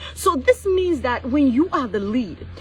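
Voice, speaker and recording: Noticeable background noise sits behind a woman's high, animated voice. She speaks at a moderate pace with very wide pitch swings. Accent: non-native. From Cameroon. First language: not English. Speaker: business coach. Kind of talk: motivational livestream talk. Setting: live stream.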